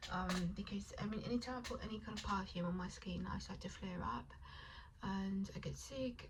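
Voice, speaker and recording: Over noticeable background noise and audible room echo, a woman speaks quietly in a calm tone at a moderate pace. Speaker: vlogger. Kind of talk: casual vlog chat while doing makeup. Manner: quiet and calm, trying to project and articulate.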